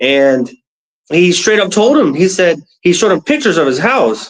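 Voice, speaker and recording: At a moderate pace, a man with a fairly high pitch and an American accent talks in an ordinary speaking voice. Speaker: former soldier, interview guest. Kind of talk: casual interview.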